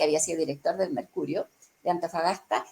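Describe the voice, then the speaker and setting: A woman's voice with a Chilean accent. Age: 60s. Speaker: journalist. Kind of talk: interview answer.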